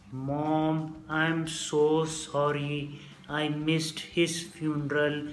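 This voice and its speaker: In a robotic put-on character voice at a middle pitch, the speaker talks very slowly with monotone, flat intonation over clear background noise. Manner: slow, mechanical.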